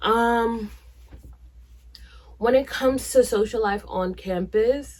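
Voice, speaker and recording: At a very slow pace, a woman with an American accent speaks at fairly high pitch with ordinary pitch variation, on a very clean recording with a silent background. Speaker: YouTuber. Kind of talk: casual vlog talk. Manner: animated.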